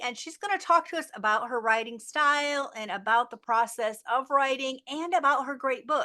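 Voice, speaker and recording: Projecting her raised voice over a quiet background, a woman speaks at a moderate pace with a bright, sharp tone, lively intonation and a high pitch. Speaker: podcast host. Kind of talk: interview host talk.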